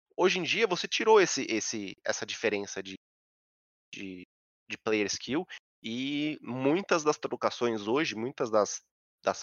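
A man's voice moves through very wide pitch swings. His loudness also swings widely. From São Paulo, Brazil. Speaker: game streamer. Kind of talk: casual chat.

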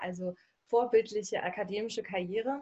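Fairly quick speech comes out in a somewhat breathy voice. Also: woman. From Berlin/Brandenburg, Germany. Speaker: coach for women. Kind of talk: interview. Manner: casual, dialect-heavy.

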